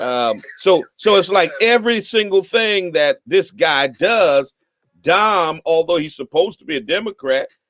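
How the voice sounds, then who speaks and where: The speaker moves at a fairly slow pace with lively intonation. Music plays in the background of a dry, close sound with no echo. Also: man, high pitch for a man. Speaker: bishop and live talk show host. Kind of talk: live talk radio commentary on local politics.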